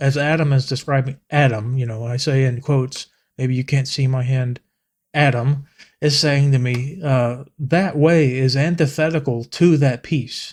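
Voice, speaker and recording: Somewhat breathy and fairly high-pitched, a man speaks at a fairly slow pace with fairly even intonation. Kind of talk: casual talk to camera. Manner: reflective, hesitant with fillers.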